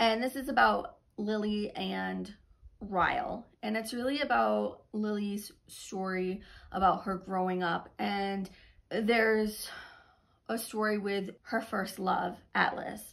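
Speaking very slowly, a woman keeps her intonation fairly even. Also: quiet background. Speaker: book reviewer. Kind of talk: casual vlog chat. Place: home room. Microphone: phone near.

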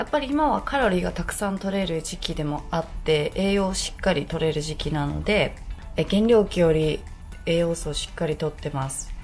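Faint music plays in the background as a woman speaks. She uses a fairly low pitch at a moderate pace. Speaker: fitness vlogger. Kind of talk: casual vlog chat. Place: home room. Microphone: phone near.

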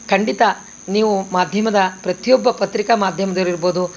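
With fairly even intonation and a medium pitch, a woman talks in a plain, everyday voice. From northern Karnataka (raised in Basavana Bagewadi; born Chamarajanagar). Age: 60s. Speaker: stage and television actress. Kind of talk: press statement.

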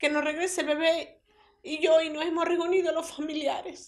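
A woman at a moderate pace, with a quiet background. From Venezuelan Andes, Mérida state. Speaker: grandmother of a kidnapped baby. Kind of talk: public appeal. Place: home room.

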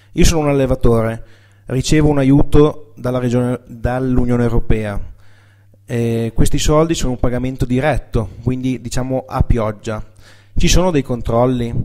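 A man speaks at a fairly slow pace with fairly even intonation, his tone dark and mellow over a quiet background. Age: 20s. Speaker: dairy farmer. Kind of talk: presentation. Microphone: podium.

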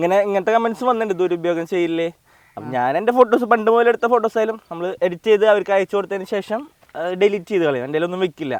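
A man speaks with a high pitch and ordinary pitch variation. The sound is dry and close with no echo. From Kerala, Thrissur (Anthikad). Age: 20s. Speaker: street photographer. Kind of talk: interview.

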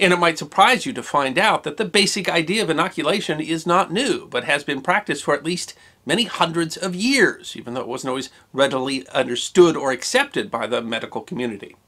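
Against a quiet background, a man talks at a very fast pace in a high pitch, his bright, sharp tone making very wide pitch swings. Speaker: presenter. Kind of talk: lecture. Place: home room.

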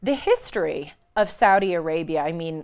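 This woman has a plain, everyday voice with fairly low pitch. She speaks at a moderate pace. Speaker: show host. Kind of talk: news commentary. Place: studio. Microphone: lapel.

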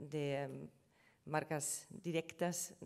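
Very slow speech in a German accent carries vocal fry and fairly even intonation. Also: woman. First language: German (speaking Spanish). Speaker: trademark lawyer. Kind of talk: conference presentation. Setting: conference panel with audience. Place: hall. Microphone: podium.

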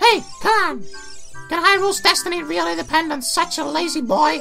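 A high-pitched, put-on character voice at a moderate pace, with clear music in the background. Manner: nagging, urgent.

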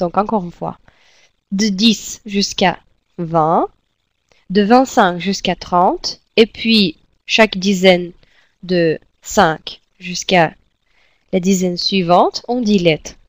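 With a Russian accent, a woman speaks very slowly at a medium pitch, using fairly even intonation and long, frequent pauses, in a dry, close sound with no echo. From Russia, Siberia. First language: Russian (speaking French). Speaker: language teacher. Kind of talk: tutorial. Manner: slow, repetitive drilling.

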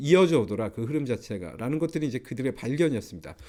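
A man speaks in a dark, mellow tone. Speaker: professor. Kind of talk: lecture. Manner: frequent filler hesitations.

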